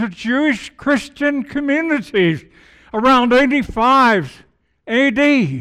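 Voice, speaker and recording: A man uses a raised, projected voice with an extremely high pitch and a bright, sharp tone. He goes at a very slow pace, in a very clean recording with a silent background. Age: old. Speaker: guest preacher. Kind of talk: sermon. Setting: church with congregation.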